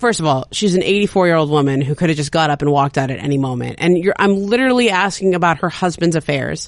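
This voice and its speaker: This woman has an American accent and a fairly low pitch. Her pitch varies in an ordinary way. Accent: Valley Girl, New York pace. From Southern California (San Fernando Valley). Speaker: sports journalist. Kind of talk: casual chat. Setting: studio. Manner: fast.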